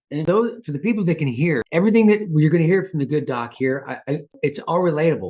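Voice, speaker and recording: A man with an American accent speaks in a normal speaking voice at a fairly quick pace with lively intonation. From US, Southern California and Texas. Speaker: podcast host. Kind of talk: podcast interview.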